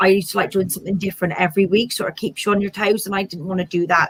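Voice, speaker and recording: A woman speaks with a Bristol accent. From Bristol, south-west England. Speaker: small business owner. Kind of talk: interview.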